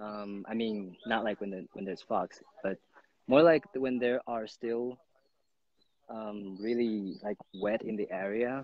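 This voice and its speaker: Fairly low male voice with ordinary pitch variation, dry sound with no echo and a quiet background. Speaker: guest. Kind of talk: interview answer. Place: open country. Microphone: phone near.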